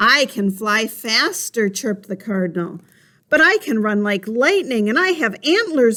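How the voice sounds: Simply a natural reading voice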